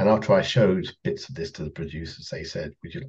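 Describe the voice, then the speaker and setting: A man with a southern English accent and a somewhat breathy voice. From southern England, Kent. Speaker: composer and orchestral arranger. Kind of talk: casual interview.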